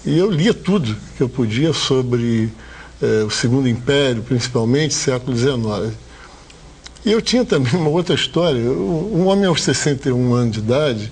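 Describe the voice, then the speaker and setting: At a moderate pace, a man talks with lively intonation and very even loudness over noticeable background noise. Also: medium pitch for a man. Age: 60s. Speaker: hotel owner, former dentist. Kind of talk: TV interview.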